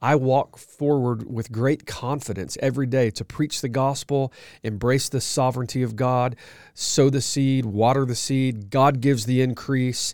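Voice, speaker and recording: With an American accent, a man has a plain, everyday voice at medium pitch, fairly even intonation and a moderate pace, on a very clean recording with a silent background. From US South, Georgia (outskirts of Atlanta). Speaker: pastor and ministry leader, podcast co-host. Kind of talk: casual chat.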